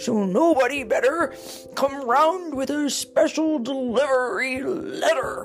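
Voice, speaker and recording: A high-pitched, put-on character voice speaks at a very slow pace with clear music in the background. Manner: yawning, sleepy.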